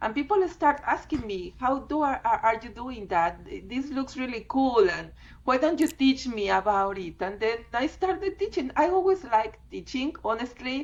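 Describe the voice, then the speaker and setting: Her pitch is high and swings very widely. The woman speaks at a moderate pace with a Spanish accent. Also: hardly any pauses. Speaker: fluid art teacher. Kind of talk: interview.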